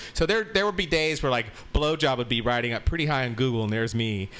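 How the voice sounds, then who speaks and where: A man's very fast speech with lively intonation. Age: 50s. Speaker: sex educator and party host. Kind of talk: casual interview.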